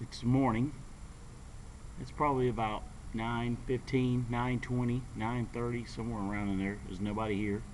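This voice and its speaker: Room echo is audible as a man speaks at a moderate pace. He has an American accent and a medium pitch. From North Carolina. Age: 40s. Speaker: skateboarder vlogger. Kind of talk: casual vlog monologue. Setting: outdoors at a skate park. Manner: halting, many fillers and repeats.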